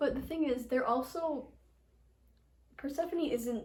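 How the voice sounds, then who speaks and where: Heard with audible room echo, a woman speaks with ordinary pitch variation. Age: 20s. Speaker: aspiring novelist. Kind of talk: casual interview chat. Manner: animated.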